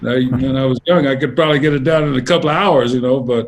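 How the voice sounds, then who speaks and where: A man speaks in a normal speaking voice with an American accent. His pitch is medium, with ordinary variation, and his pace is fairly quick. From Louisiana (New Orleans, Lake Charles), then Los Angeles. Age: 60s. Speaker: jazz saxophonist. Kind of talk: interview. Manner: relaxed, many fillers and restarts.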